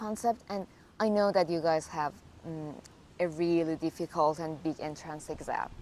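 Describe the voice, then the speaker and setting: A woman with a Persian accent and a fairly low pitch. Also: ordinary pitch variation, moderate pace. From Iran. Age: 20s. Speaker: graduate student. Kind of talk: interview. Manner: casual, filler-heavy.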